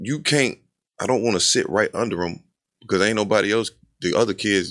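The speaker is a man with a fairly low pitch and ordinary pitch variation. His pace is fairly quick, on a very clean recording with a silent background. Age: 30s. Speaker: podcast co-host. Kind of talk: casual chat.

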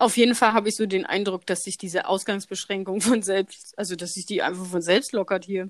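A woman's medium-pitched voice at a fairly quick pace, with fairly even intonation and hardly any pauses. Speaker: podcast host. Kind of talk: casual chat. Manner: laughing often.

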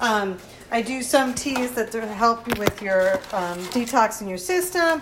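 Noticeable background noise runs under this recording. A woman speaks at a fairly high pitch. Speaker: art teacher. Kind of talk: casual chat.

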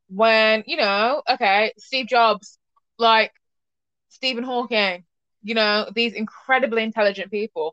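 This woman has an ordinary speaking voice, fairly high in pitch with ordinary pitch variation, and she talks at a fairly slow pace. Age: young. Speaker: podcast host. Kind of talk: casual chat.

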